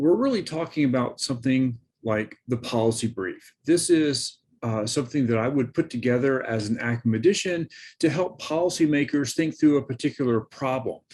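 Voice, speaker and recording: Over a quiet background, an ordinary speaking voice moves at a moderate pace with ordinary pitch variation. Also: man. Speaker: professor. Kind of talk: lecture. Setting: recorded presentation with screen share.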